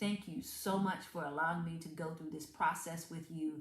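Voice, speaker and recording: With a Southern accent, a woman speaks in a fairly low, somewhat breathy voice, with audible room echo. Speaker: motivational speaker. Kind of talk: motivational talk. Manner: animated.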